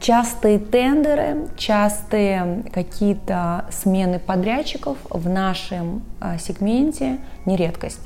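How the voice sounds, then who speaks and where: A woman's medium-pitched voice at a very slow pace, with lively intonation, audible room echo and noticeable background noise. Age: 30s. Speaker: advertising agency business director. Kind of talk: interview.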